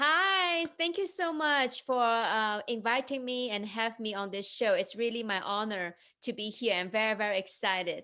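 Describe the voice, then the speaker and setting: A woman with a Chinese accent talks in a fairly high, bright and sharp voice, her pitch swinging very widely, with hardly any pauses. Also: moderate pace. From China. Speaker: entrepreneur and investment coach. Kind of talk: interview.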